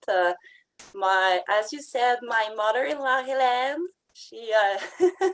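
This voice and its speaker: The speaker is a woman. She talks with a French accent. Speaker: direct sales consultant, former retail buyer. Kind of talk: testimony. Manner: halting; partly reading.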